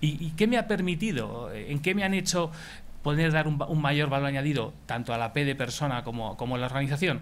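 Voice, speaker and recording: Fairly quick speech from a man. His pitch sits fairly high. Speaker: HR executive; speaker. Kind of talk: conference talk. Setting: stage with audience. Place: meeting room. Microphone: headset.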